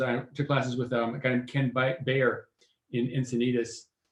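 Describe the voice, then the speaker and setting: At a fairly quick pace, a man talks in a medium pitch that sounds somewhat breathy. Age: 60s. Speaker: photographer and paramotor pilot. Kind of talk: interview.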